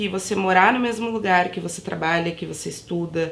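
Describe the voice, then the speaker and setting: Noticeable background noise and audible room echo surround a woman whose intonation stays fairly even. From São Paulo outskirts, Brazil. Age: 20s. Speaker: university student, mother. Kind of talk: documentary interview.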